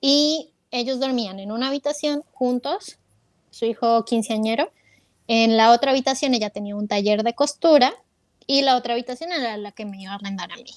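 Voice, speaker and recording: Over a quiet background, a woman talks at a moderate pace in a fairly high pitch with ordinary pitch variation, the sound dry with no echo. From Colombia, Bogotá, raised in Ecuador from age 8. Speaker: sound engineer, emigrant; interview guest. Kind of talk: interview storytelling. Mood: warm, reflective. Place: home room. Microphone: earbuds.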